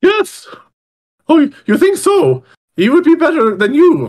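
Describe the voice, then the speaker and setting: A man puts on a character voice. It is squeaky and pitched extremely high. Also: moderate pace. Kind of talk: comic overacting. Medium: actual play. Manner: pompous, formal, loud.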